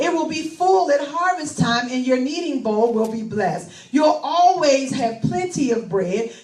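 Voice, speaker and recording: Against noticeable background noise, a woman speaks at a fairly slow pace in a high pitch, with very wide pitch swings. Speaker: pastor, preacher. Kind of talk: scripture reading.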